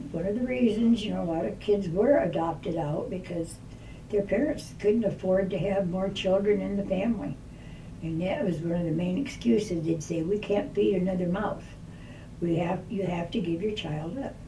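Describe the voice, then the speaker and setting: Amid noticeable background noise and audible room echo, a woman with an American accent speaks at a moderate pace and medium pitch, with ordinary pitch variation. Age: 80s+. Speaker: elderly guest. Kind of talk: casual chat.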